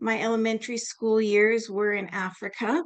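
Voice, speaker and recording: A woman talks in a normal speaking voice with a Canadian accent. Her pitch sits fairly high. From Canada. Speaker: nurse and lecturer. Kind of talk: lecture.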